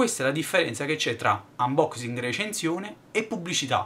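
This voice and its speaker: Very wide pitch swings mark this man's fairly high voice as he speaks at a fairly quick pace. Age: 20s. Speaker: YouTuber, tech reviewer; YouTuber. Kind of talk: vlog monologue. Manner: halting, many fillers. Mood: irritated, venting. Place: home room. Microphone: webcam.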